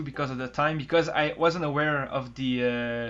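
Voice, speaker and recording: The man's intonation is fairly even. He talks at a fairly quick pace. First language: not English. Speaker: gaming youtuber. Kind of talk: casual chat. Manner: halting.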